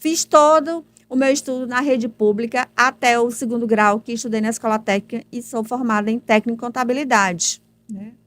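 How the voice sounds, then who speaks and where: With a plain, everyday voice, a woman talks at a moderate pace in a fairly high pitch with ordinary pitch variation, in a dry, close sound with no echo. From Teresina, Piauí, northeastern Brazil. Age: 50s. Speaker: political candidate. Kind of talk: interview. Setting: studio.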